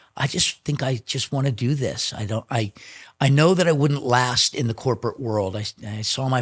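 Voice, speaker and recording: A man with an American accent speaks at a moderate pace with ordinary pitch variation in a normal speaking voice. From Chicago. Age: 60s. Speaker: drummer. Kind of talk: interview storytelling.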